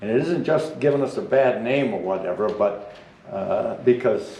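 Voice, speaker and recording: With a New England accent, a man speaks at a medium pitch in audible room echo. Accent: rural New England. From New Hampshire, Belknap County. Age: 70s. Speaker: public commenter, hunter. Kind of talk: public comment at meeting. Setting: public meeting at microphone. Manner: halting.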